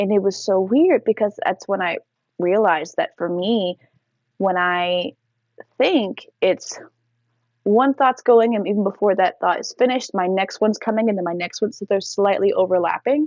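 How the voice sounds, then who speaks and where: In a plain, everyday voice, a woman speaks at a medium pitch and moderate pace with ordinary pitch variation. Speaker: teacher. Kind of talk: casual story time.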